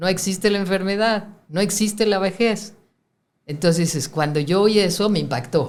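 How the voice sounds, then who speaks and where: Audible room echo carries a woman's medium-pitched voice. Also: ordinary pitch variation, moderate pace. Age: 60s. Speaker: spiritual teacher. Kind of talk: interview.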